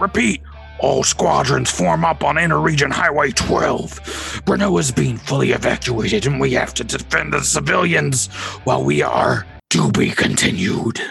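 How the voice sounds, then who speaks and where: Over clear music in the background, a man puts on a gruff character voice at a moderate pace. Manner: urgent, commanding.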